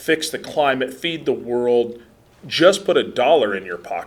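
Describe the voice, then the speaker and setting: This man has a Midwestern US accent. He talks at a moderate pace. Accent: General American, Midwestern. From US Midwest, central Nebraska. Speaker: soil health lab scientist, conference speaker. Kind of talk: conference presentation. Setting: conference room, podium with microphone, live audience. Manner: loud; casual, humorous.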